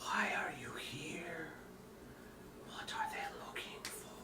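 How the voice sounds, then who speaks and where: Someone whispers in a put-on character voice at a fairly slow pace over loud background noise. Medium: actual play. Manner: eerie, hushed.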